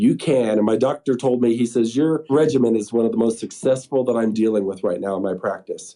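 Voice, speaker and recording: Against a quiet background, a man with a Colorado accent speaks at medium pitch in a dark, mellow tone. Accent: American (Colorado). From Colorado, US. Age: 60s. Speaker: pulmonary hypertension patient. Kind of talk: testimony.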